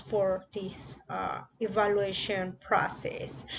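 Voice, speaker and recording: This woman talks at a fairly high pitch with a Spanish accent. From Mexico. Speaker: YouTuber, international student. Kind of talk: vlog tutorial. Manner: hesitant with fillers.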